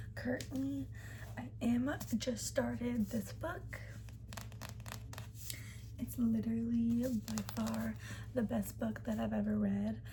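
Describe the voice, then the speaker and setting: The speaker is soft-spoken and talks at a very slow pace, with long, frequent pauses. Noticeable background noise is present. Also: woman. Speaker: ASMR creator. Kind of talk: ASMR whispered-style chat to camera about a reading list. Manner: soft-spoken, rambling.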